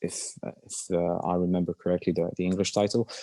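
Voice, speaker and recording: A man with a Polish accent, dark and mellow in tone, dry and close with no echo, over a quiet background. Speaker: actor. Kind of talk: interview Q&A. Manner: halting, many fillers and repeats.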